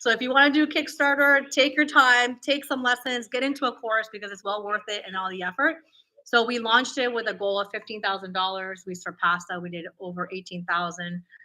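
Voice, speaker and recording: A woman with an American accent speaks at a fairly quick pace in a fairly high pitch with a bright, sharp tone and lively intonation. Her loudness swings widely on a very clean recording with a silent background. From Peru, raised in Florida from age eight. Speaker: toy business entrepreneur. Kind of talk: interview.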